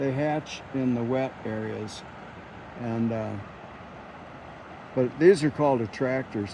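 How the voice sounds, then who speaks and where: A man at a very slow pace and medium pitch, with ordinary pitch variation, long, frequent pauses and noticeable background noise. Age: 70s. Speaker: fly fisherman. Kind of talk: casual instruction.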